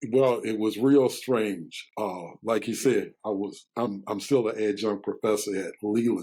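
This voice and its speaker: Speaking at a fairly slow pace with hardly any pauses, a man uses a fairly low pitch, a dark, mellow tone and fairly even intonation. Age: 70s. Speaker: pastor and pharmacist. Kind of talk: interview.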